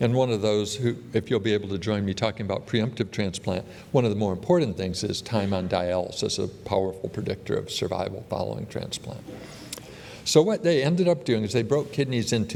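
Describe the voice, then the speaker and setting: The speech moves at a fairly quick pace. Noticeable background noise sits behind it. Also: man. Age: 60s. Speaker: transplant surgeon. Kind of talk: conference talk.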